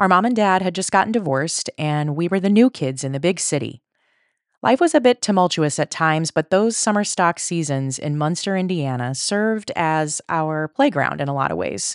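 Dry and close with no echo, a woman's fairly low voice, an unremarkable speaking voice, moves at a moderate pace with lively intonation. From Colorado, then Chicago area. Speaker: podcast host. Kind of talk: casual chat.

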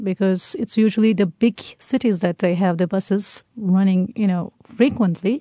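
Her medium-pitched voice is dark and mellow, somewhat breathy, and moves at a moderate pace with hardly any pauses. The sound is dry and close with no echo, over a quiet background. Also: ordinary pitch variation. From Turkey. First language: Turkish. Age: young. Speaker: tour guide. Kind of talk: radio interview.

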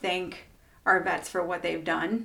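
With a slight Iowa accent, a woman talks at a fairly quick pace in a medium pitch. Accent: Iowa twang, slight. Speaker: podcast host. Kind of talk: casual interview.

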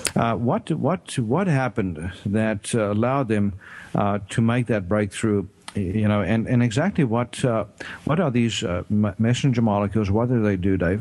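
Speaking at a moderate pace, a man uses a fairly low pitch with ordinary pitch variation. His loudness stays very even. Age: 50s. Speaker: doctor and radio health show host. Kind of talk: radio talk show interview. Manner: halting, many fillers.

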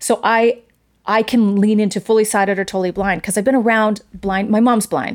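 On a very clean recording with a silent background, a woman with an unremarkable speaking voice talks fairly quickly at a fairly high pitch, with fairly even intonation and very even loudness. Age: 50s. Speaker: stage and screen actress. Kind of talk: interview.

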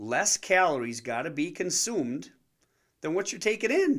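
A man's voice swings very widely in pitch at a moderate pace, captured in a very clean recording with a silent background. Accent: Wisconsin. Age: 40s. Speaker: podcast host, fitness entrepreneur, ex-car salesman. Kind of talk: casual comedic monologue. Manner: animated.

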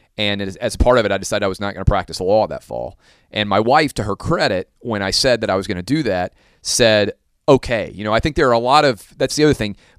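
Talking at a very fast pace, a man with a fairly low pitch and ordinary pitch variation is heard in a dry, close sound with no echo on a very clean recording with a silent background. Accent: American. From US South. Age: 30s. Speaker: sports broadcaster. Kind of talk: casual chat.

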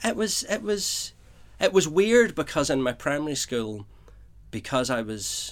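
Speaking with a Northern Irish accent, a man has a fairly high pitch and very wide pitch swings. His pace is fairly slow. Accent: Northern Irish (Belfast). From Belfast, Northern Ireland. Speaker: playwright. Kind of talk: interview.

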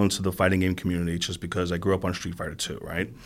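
This man talks very fast on a very clean recording where the background is silent. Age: 40s. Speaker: esports community organizer. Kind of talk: interview.

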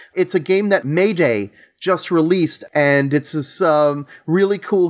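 With a New York accent, a man speaks at a fairly high pitch with ordinary pitch variation. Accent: New York area American. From New York, Long Island. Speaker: board game designer. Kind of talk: casual interview.

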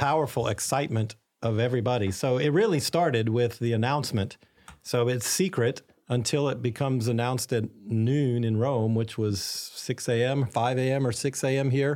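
A man with a normal speaking voice and an American accent talks at a moderate pace and medium pitch, with ordinary pitch variation and very even loudness. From Arkansas, US South. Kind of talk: interview.

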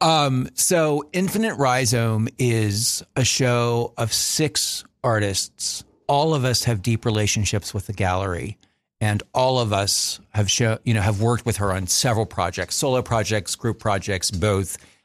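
A man with a normal speaking voice talks fairly slowly at a medium pitch, with ordinary pitch variation and very even loudness. The recording is very clean, with a silent background. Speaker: painter. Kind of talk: radio interview. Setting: studio.

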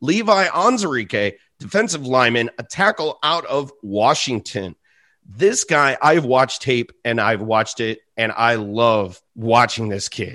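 In a quiet background, a man with a medium pitch speaks at a fairly slow pace in an animated, enthusiastic, bright and sharp tone, with lively intonation. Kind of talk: sports analysis podcast chat. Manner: animated, enthusiastic, gushing over a prospect's speed and power; conversational, stumbling and laughing mid-sentence.

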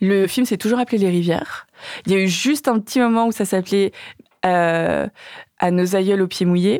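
Leaving long, frequent pauses, a woman at medium pitch keeps a moderate pace, very even loudness and ordinary pitch variation. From Vietnamese family in France. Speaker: documentary filmmaker. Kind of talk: casual chat. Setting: studio. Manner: halting.

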